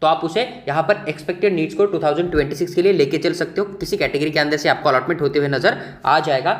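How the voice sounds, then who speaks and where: This man's fairly high voice keeps a very even loudness and ordinary pitch variation. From Maharashtra, India. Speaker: medical admissions counselor. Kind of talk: informational video explainer.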